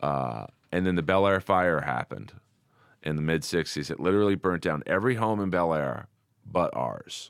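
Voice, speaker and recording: Over a silent background on a very clean recording, a man with a Californian accent speaks in a very deep, low voice with lively intonation. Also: moderate pace. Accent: Californian American. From US West Coast, Los Angeles. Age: 50s. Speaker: comedian. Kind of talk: casual chat. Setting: studio.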